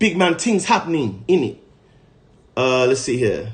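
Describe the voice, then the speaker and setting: A man with an American accent speaks at a fairly slow pace in an animated tone, somewhat breathy, medium-pitched, with very wide pitch swings. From United States. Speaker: podcast host, livestreamer. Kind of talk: casual livestream chat.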